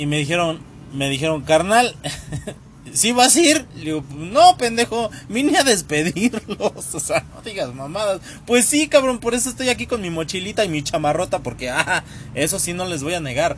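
A man speaks at a moderate pace and a high pitch, his tone animated. His pitch swings very widely, with big swings in loudness. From Mexico City area, Tlalnepantla. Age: 30s. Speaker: podcast host. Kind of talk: casual storytelling monologue. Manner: animated, laughing.

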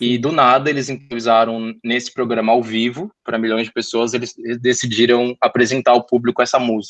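A man with a São Paulo accent speaks at a fairly quick pace in a medium pitch. His intonation is monotone and flat, and the sound is dry and close with no echo. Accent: Brazilian Portuguese, São Paulo (paulistano). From São Paulo, North Zone. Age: 20s. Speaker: podcast guest, communications graduate. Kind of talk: casual interview chat about music.

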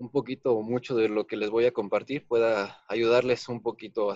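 Dry and close with no echo over a quiet background, a man's voice runs in monotone, flat intonation. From Guanajuato, Mexico. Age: 30s. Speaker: architect and accident survivor. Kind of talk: personal testimony.

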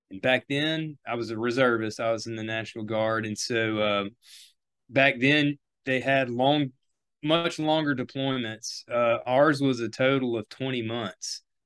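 With an American accent, a man speaks in an unremarkable speaking voice at a medium pitch. He goes at a fairly slow pace with fairly even intonation. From US South (South Louisiana). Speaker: upland hunter, outdoor writer and war veteran. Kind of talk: casual interview chat.

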